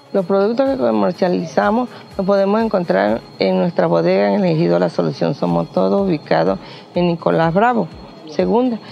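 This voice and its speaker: Over noticeable background noise, a woman speaks at a moderate pace with very even loudness. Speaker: community member. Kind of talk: interview.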